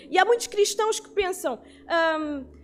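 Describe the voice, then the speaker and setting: A woman at an extremely high pitch with ordinary pitch variation, noticeable background noise around her. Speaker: bible class teacher. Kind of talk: bible lecture.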